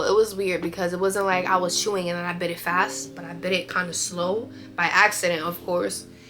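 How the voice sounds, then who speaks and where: A woman speaks in a fairly low voice. Music plays in the background. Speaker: beauty and lifestyle vlogger. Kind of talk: casual vlog talk. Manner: chatty, many fillers.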